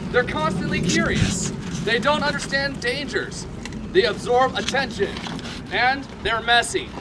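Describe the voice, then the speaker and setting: Lively intonation from a man with an extremely high pitch, over noticeable background noise. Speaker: ministry speaker giving a message. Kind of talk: sermon-style testimony talk to a live audience. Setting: outdoors at an airsoft field.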